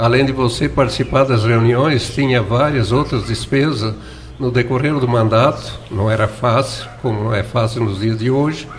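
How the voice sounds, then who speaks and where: Amid noticeable background noise and audible room echo, a man speaks with very even loudness. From southern Brazil, Santa Catarina. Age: 70s. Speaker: former mayor and writer. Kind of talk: radio interview.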